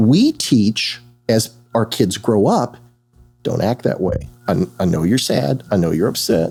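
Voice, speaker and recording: Over music in the background, a man with a fairly low pitch speaks at a fairly slow pace. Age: 60s. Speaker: therapist. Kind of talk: casual chat.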